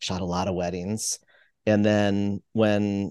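With an American accent, a man talks in an unremarkable speaking voice, his pitch fairly low and his intonation fairly even. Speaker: toy photographer. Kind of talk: casual interview. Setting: remote call.

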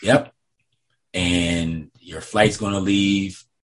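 A very deep, low-pitched man with an American accent, fairly even intonation and a very slow pace. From upstate New York. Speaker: former pro basketball team security officer. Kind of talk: interview, storytelling.

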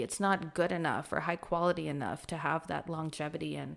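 A woman talks with vocal fry. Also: very clean recording, silent background. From Kuwait. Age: 20s. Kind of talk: casual chat.

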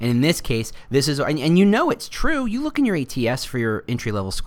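A man with an ordinary speaking voice talks at a fairly quick pace. His intonation is lively, and the recording is very clean with a silent background. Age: 40s. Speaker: podcast host, recruitment marketer. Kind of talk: solo podcast monologue. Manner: casual, with frequent fillers.

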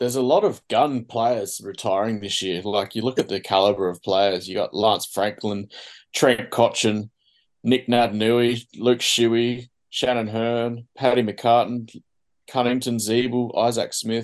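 With an Australian accent, a man speaks at a fairly slow pace and medium pitch, keeping his intonation fairly even. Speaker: podcast host. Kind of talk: casual chat. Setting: video call.

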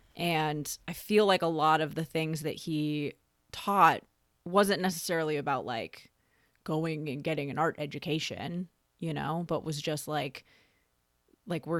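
In an American accent, a woman speaks at a fairly slow pace. Her pitch is very deep and low. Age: 30s. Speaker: podcast co-host, photographer. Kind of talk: casual chat.

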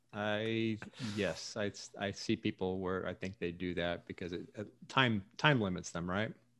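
A man speaks in a normal speaking voice, fairly low-pitched, with fairly even intonation at a fairly slow pace, in a very clean recording with a silent background. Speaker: podcast co-host. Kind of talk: casual chat.

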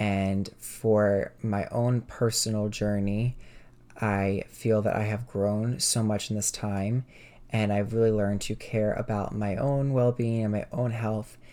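Dark, mellow tone at a fairly slow pace, monotone and flat in intonation, on a very clean recording with a silent background. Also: man, fairly low pitch for a man. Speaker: podcast host. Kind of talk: casual solo podcast monologue.

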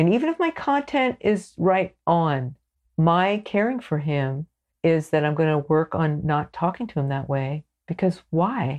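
A woman with a normal speaking voice talks at a fairly slow pace. Her pitch is fairly low. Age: 60s. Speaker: counselor and educator. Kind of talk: interview about relationships.

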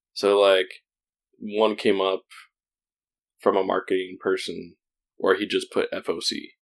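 Long, frequent pauses break up a man's fairly slow delivery. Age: 30s. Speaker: part-time maker and podcast co-host. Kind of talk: casual chat.

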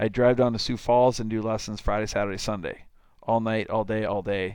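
In a Minnesota accent, this man talks at a fairly low pitch with a monotone, flat intonation. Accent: Upper Midwest (Minnesota) American. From southern Minnesota, small town. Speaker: baseball club owner and coach. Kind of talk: casual interview chat.

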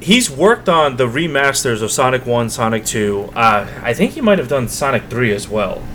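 Noticeable background noise sits behind a man's voice. He speaks with lively intonation and hardly any pauses. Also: medium pitch for a man, moderate pace. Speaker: video game podcast co-host. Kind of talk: casual chat.

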